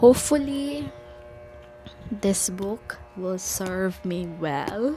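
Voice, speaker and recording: Over music in the background, a woman with a non-native accent speaks at medium pitch with lively intonation. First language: not English. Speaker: book vlogger. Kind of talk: casual vlog talk. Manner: halting.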